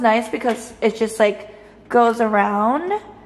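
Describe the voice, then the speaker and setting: Audible room echo surrounds the voice of a woman as she talks. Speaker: new tenant vlogger. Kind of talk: casual vlog chat. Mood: happy, excited. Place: kitchen. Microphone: phone near.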